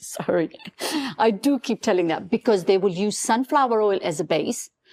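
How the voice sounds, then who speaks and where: A woman with a non-native accent speaks at a moderate pace and a medium pitch. Her pitch varies in an ordinary way, and the sound is dry and close with no echo. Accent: non-native English, noticeable. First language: not English. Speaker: beauty brand founder. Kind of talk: podcast interview. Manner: halting.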